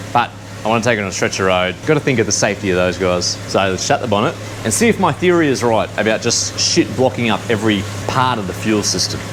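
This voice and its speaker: A man with an Australian accent, fairly low in pitch and very fast, with music in the background. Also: ordinary pitch variation. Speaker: car enthusiast vlogger. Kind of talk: casual vlog narration. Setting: in a car with windows down.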